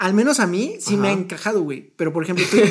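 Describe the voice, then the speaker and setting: The speaker is a man with a Mexican accent. His pitch moves up and down in an ordinary way. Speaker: podcast co-host. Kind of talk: casual chat. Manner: animated, laughing often.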